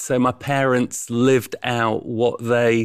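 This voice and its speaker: In a Yorkshire accent, a man speaks at a medium pitch with monotone, flat intonation. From East Yorkshire, England. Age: 50s. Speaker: charity founder and chief executive. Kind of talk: interview conversation.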